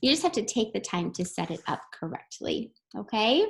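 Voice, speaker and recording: A woman speaks in a fairly high, somewhat breathy voice. Her pitch swings very widely. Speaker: teacher. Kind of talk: recorded lesson tutorial. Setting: screen-share video lesson. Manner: fast.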